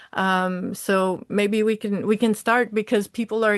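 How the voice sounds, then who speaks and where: A woman's medium-pitched voice in a Quebec accent, monotone and flat in intonation, at a moderate pace with a dry, close sound and no echo. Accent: Quebecois French. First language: French. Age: 40s. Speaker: social service worker. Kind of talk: testimony. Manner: halting.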